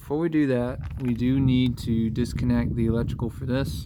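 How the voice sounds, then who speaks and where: The speech goes at a moderate pace. Noticeable noise sits in the background. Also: man. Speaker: DIY car repair youtuber. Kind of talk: tutorial. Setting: outdoors. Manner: casual.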